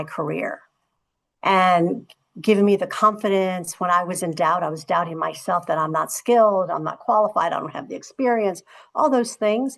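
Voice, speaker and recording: Her voice is a plain, everyday voice, with ordinary pitch variation and a moderate pace. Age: 60s. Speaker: corporate executive and panelist. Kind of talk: panel discussion. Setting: virtual conference.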